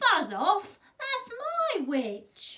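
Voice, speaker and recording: Putting on a character voice, a woman speaks in a raised, projected voice at an extremely high pitch, shrill and croaky with a growling edge. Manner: menacing, gruff.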